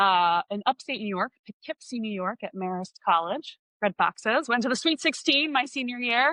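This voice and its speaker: The speaker has an American accent and a moderate pace. The intonation is lively. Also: woman, fairly high pitch for a woman. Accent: Philadelphia accent, occasional. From Philadelphia area, Delaware County, US. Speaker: business consultant. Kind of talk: podcast interview.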